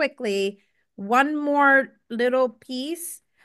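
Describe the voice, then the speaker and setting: A woman's high, bright, sharp voice in an American accent, raised and projected, at a very slow pace with ordinary pitch variation against a quiet background. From Ohio, Cincinnati area (Lincoln Heights). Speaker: speaker at a poetry tribute. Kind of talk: tribute speech with poetry reading.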